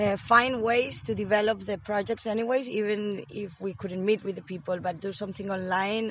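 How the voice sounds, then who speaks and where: The speaker has a Spanish accent. Pitch variation is ordinary. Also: woman. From Spain, Madrid. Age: 20s. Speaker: Erasmus volunteer. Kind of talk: interview. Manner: hesitant with fillers.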